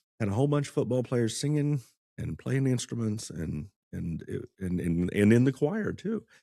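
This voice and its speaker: With lively intonation and a dark, mellow tone, a man speaks in a Midwestern American accent. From Kansas, US. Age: 50s. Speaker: music teacher, former attorney. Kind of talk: casual podcast chat.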